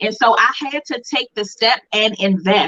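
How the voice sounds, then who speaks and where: This woman has an unremarkable speaking voice, pitched fairly high. Her pace is moderate, with ordinary pitch variation. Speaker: brand coach, co-host of live class. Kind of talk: live online class talk, personal testimony.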